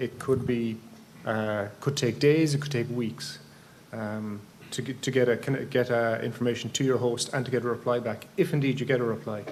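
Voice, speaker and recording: A man with an Irish accent speaks at a medium pitch amid audible room echo. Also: moderate pace. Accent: flat Irish. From Ireland. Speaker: amateur radio conference speaker. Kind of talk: technical presentation. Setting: conference room with microphone. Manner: halting, many fillers and restarts.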